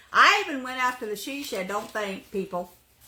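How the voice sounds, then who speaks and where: A woman uses a raised, projected voice with very wide pitch swings. She talks at a moderate pace. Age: 60s. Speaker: craft YouTuber. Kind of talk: casual vlog chat. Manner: chatty, rambling casual delivery.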